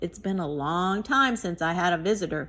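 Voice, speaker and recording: A woman does a put-on character voice at a medium pitch. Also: moderate pace. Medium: read story. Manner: calm, wise.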